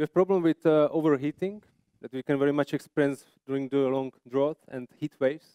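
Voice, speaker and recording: A man talks fairly quickly at a fairly high pitch, his tone dark and mellow. The sound is dry and close with no echo, and his intonation stays fairly even. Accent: Czech. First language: Czech. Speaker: landscape architect presenter. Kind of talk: conference presentation. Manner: halting.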